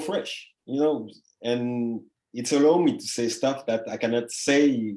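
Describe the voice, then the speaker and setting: At a fairly slow pace, the voice carries a dark, mellow tone in a French Caribbean accent. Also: man. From Guadeloupe, French Caribbean. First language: French / Creole. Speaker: artist. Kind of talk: interview conversation. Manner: halting, many fillers.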